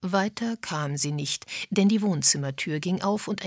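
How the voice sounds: Natural voice reading a text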